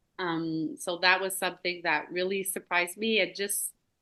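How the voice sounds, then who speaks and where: A woman's bright, sharp voice in a Quebec accent at a moderate pace. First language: French. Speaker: elementary school teacher. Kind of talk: casual conversation.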